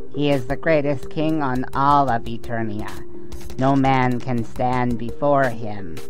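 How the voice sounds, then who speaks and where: Someone performs a put-on character voice at a fairly slow pace with loud music in the background. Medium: audio drama.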